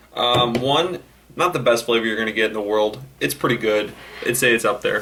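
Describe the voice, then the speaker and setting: A man's medium-pitched voice, varying in an ordinary way, moves fairly quickly over noticeable background noise. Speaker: vape product reviewer. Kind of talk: product review. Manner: fast; casual, many fillers.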